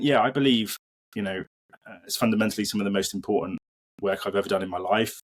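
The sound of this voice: Here a man speaks at a low pitch with fairly even intonation.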